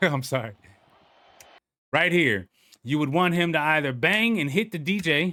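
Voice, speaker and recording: In an American accent, a speaker with vocal fry talks at a fairly slow pace with lively intonation. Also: man. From Chicago. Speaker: sports fan reaction creator. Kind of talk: casual game reaction commentary. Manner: high energy, ranting.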